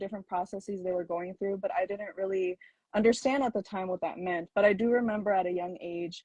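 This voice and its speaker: A woman with a Minnesota accent, medium in pitch with ordinary pitch variation, at a fairly quick pace in a dry, close sound with no echo. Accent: Minnesota American English. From US Midwest. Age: 20s. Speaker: attorney. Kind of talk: interview.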